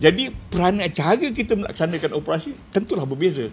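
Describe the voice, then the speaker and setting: Light background noise can be heard as a man talks. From Malaysia. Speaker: retired special branch officer; guest. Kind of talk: casual chat. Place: studio. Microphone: lapel.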